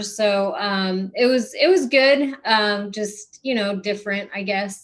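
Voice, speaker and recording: A woman talks at a very slow pace with ordinary pitch variation and a fairly high pitch. The recording is very clean, with a silent background. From South Texas, Corpus Christi. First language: Spanish. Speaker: non-profit founder, person in recovery. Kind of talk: podcast interview. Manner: many fillers and restarts.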